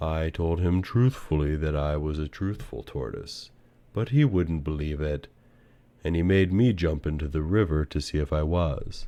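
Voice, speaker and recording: Putting on a character voice, a man speaks very deep and low at a fairly slow pace in a calm tone. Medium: read story. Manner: slow, calm, sly.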